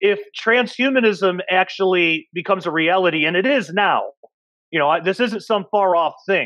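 At a moderate pace, the voice comes through with a dry sound with no echo and a quiet background. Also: man. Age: 30s. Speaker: podcast host and researcher. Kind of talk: casual panel discussion. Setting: video call. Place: home room. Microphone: earbuds.

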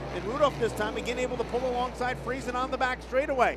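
Amid noticeable background noise, a man talks at a fairly quick pace in an extremely high pitch. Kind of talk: race call. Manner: fast, rapid-fire play-by-play; energetic, excited.

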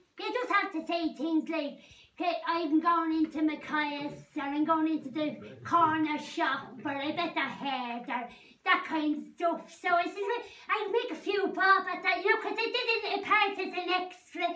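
A woman's put-on character voice, extremely high in pitch, with lively intonation at a moderate pace. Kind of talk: comedy mockumentary character performance.

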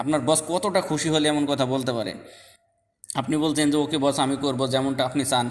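This man has a plain, everyday voice at a fairly high pitch. His intonation is fairly even. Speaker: language teacher youtuber. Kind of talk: tutorial.

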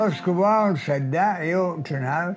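With clear music behind him, a man speaks very slowly at a high pitch with ordinary pitch variation. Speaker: centenarian former pupil. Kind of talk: interview answer. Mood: amused, storytelling. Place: home room.

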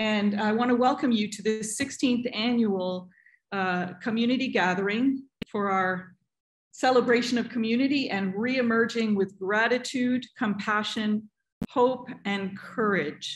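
A somewhat breathy woman's voice at a fairly slow pace with ordinary pitch variation, over light background noise. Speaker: pastor hosting community gathering. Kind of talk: welcoming address. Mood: warm, calm. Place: home room. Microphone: video call.

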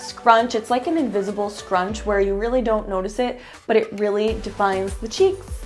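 Faint music sits in the background. Over it, a woman talks with ordinary pitch variation. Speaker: fashion vlogger. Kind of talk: casual vlog chat. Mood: upbeat, friendly. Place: home room. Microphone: lapel.

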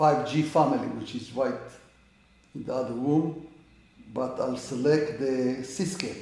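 There is audible room echo as a man speaks at a fairly slow pace with a fairly high pitch. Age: 80s+. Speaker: amateur astronomer. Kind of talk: tutorial. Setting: indoors at home. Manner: halting. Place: home room. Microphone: camera far.

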